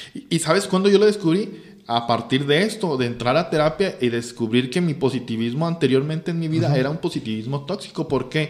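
A man with a Mexican accent, fairly high-pitched and fairly quick, with lively intonation and hardly any pauses. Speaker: teacher and engineer. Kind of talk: casual chat.

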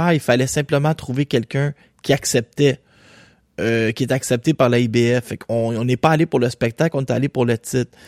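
At a fairly slow pace, a man talks in a dry, close recording with no echo. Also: very clean recording, silent background. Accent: Quebec. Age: young. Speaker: boxing podcast host. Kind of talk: casual solo commentary. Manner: animated.

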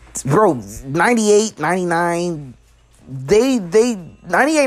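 With a Chicago accent, a man speaks at a moderate pace in a high pitch that swings very widely. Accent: Chicago American English. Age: 20s. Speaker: podcast host. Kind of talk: casual monologue. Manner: halting.

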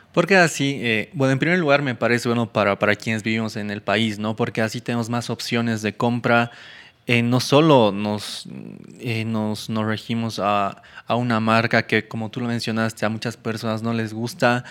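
A man at a moderate pace, medium in pitch with ordinary variation, in a very clean recording with a silent background. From Argentina and Bolivia, born Buenos Aires. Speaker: tech podcast co-host. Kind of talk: casual chat. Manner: halting, repeats words.

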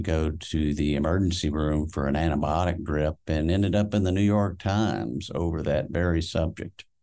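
Speaking with an American accent, a man has a very deep, low pitch and a dark, mellow tone. His intonation stays fairly even at a moderate pace against a quiet background. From Houston, Texas. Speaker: company CEO and preparedness expert. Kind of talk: interview.

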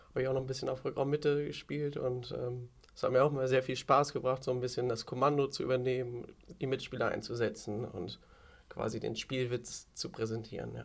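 A man with a medium pitch uses a normal speaking voice, talking at a fairly quick pace with fairly even intonation. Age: 20s. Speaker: handball player and youth coach. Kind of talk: casual interview. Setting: outdoors on a balcony.

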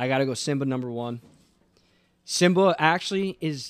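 Medium pitch, a fairly quick pace and an ordinary speaking voice from a man. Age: 20s. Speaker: podcast guest. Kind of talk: casual chat.

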